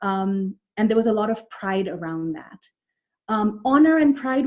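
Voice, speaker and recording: Speaking with an Indian accent, a woman sounds somewhat breathy. She keeps a moderate pace and ordinary pitch variation. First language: Malayalam. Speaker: psychologist. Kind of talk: webinar presentation. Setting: online webinar. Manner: hesitant, many fillers.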